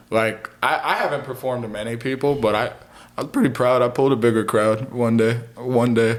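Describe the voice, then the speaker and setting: Over noticeable background noise, a man at medium pitch talks at a fairly quick pace in a monotone, flat intonation. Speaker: rapper and audio engineer. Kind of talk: casual chat.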